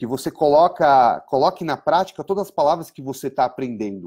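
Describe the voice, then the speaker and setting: Fairly high in pitch, a man speaks with lively intonation. His tone is dark and mellow. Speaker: English teacher. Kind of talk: online lesson. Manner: conversational, many fillers.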